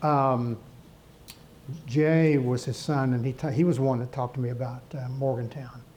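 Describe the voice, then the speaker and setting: Speaking at a moderate pace, a man with a medium pitch sounds somewhat breathy, his intonation fairly even. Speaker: keynote speaker, former college sports executive. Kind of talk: keynote speech. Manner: halting.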